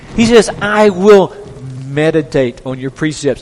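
Over noticeable background noise, a man with a Southern US accent speaks with very wide pitch swings. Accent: Southern American. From US South. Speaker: pastor. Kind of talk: sermon.

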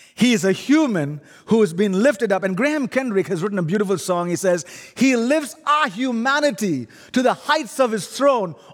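Speaking with an Indian accent, a man uses a high pitch and lively intonation. His pace is moderate, and the recording is very clean with a silent background. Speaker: guest preacher. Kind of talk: sermon. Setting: church.

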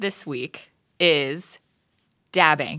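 A woman with a bright, sharp tone is heard on a very clean recording with a silent background. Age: 20s. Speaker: youth minister. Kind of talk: casual chat. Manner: laughs often.

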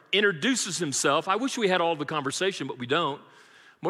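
Lively intonation in plain reading aloud

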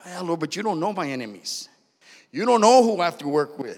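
A man speaks in an animated tone. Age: 40s. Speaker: preacher. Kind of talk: sermon.

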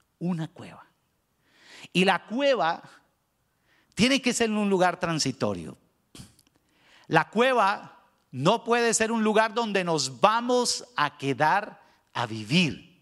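A man's high voice with lively intonation, at a very slow pace with long, frequent pauses, on a very clean recording with a silent background. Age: 50s. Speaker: pastor. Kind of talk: sermon.

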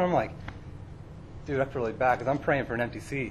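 A man's voice with audible room echo. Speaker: youth pastor. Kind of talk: sermon.

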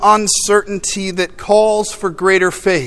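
Speaking in an American accent, a man uses a high pitch with fairly even intonation. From US Midwest. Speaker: pastor. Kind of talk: sermon.

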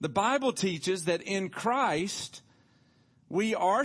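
A man with a Tennessee accent talks at a very slow pace. His intonation is lively, and the background is quiet. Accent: Southern US (Tennessee). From US South, Tullahoma, Tennessee. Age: 50s. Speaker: pastor. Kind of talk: sermon. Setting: church.

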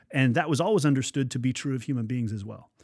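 An unremarkable speaking voice from a man, fairly high in pitch and fairly quick, in a very clean recording with a silent background. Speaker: pastor. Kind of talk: podcast interview.

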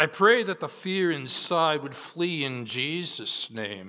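The recording is very clean with a silent background. A man speaks with very wide pitch swings. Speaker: preacher. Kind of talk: sermon; fervent prayer at the close of a sermon, spoken to God with solemn, pleading earnestness. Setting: church. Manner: earnest, pleading, slow and heartfelt, with deliberate pauses in the prayer; formal, teacherly.

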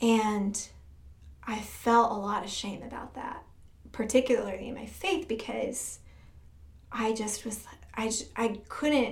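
A woman speaks at a fairly slow pace with a fairly high pitch and fairly even intonation. Some room echo can be heard. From Michigan, US Midwest. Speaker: church music director. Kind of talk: testimony.

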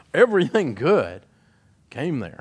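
In a Tennessee accent, a man with a bright, sharp tone and very wide pitch swings speaks at a moderate pace over a quiet background. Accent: Southern US (Tennessee). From Middle Tennessee (Nashville area). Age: 50s. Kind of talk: testimony speech. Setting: stage with audience.

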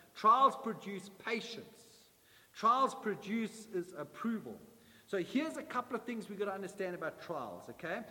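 The voice is raised and projected, with a warm tone and ordinary pitch variation. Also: man, high pitch for a man, moderate pace. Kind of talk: sermon. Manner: emphatic, repetitive preacher cadence, building with triple repetition; warm, exhorting, direct address to congregation.

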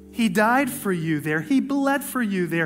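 A man speaks at a high pitch with lively intonation and a moderate pace. Noticeable background noise runs underneath. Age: 40s. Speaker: pastor. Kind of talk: sermon. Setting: church.

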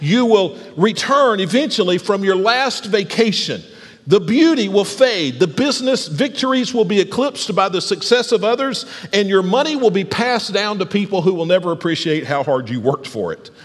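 Over noticeable background noise, a man with an American accent talks at a moderate pace in a high pitch, with lively intonation. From US South, Alabama. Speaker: pastor. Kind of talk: sermon. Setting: church.

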